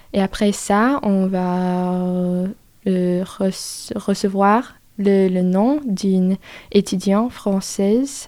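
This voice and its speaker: A woman's tone is dark and mellow, with a medium pitch and fairly even intonation. The recording is very clean, with a silent background. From US South. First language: English (speaking French). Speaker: exchange student. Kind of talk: interview. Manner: halting.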